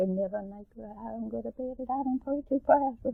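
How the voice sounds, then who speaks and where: A woman speaks in a Southern Maryland accent. Her voice is somewhat breathy. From Calvert County, Maryland. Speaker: grandmother. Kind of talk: oral history interview answer.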